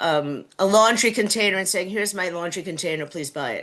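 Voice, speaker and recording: Over a quiet background, a woman speaks with a New York accent and ordinary pitch variation. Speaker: city council candidate. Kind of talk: candidate interview. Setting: video call.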